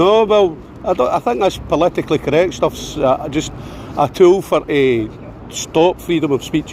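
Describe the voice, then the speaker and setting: A man with a Scottish accent talks at a fairly high pitch with ordinary pitch variation and very even loudness. Noticeable background noise runs underneath. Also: moderate pace. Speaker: street activist filming debates. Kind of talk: heated debate. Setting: outdoors.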